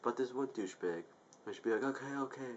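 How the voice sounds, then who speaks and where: A man talks at a very fast pace. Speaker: YouTube vlogger. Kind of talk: angry venting rant to camera. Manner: exasperated, profane outbursts, repeating 'I told you'; rambling, self-interrupting, casual filler-heavy. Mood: exasperated ranting. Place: home room. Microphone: webcam.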